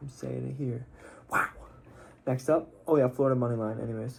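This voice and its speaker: Somewhat breathy, a man speaks at a moderate pace and a medium pitch. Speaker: sports betting picks host. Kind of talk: casual sports picks commentary. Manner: casual, filler-heavy.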